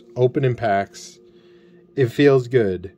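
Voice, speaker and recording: A man is speaking. His pace is fairly slow. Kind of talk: casual commentary. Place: home room.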